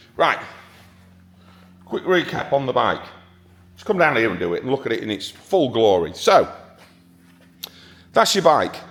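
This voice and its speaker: Animated in tone, a man with a fairly high pitch and vocal fry speaks at a moderate pace, with very wide pitch swings, big swings in loudness, and long, frequent pauses. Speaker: motorcycle dealer. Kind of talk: sales walkaround video.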